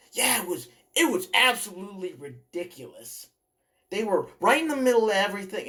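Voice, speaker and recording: This is a put-on character voice delivered at a fairly quick pace. The pitch swings very widely. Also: man, high pitch for a man. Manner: complaining, ranting.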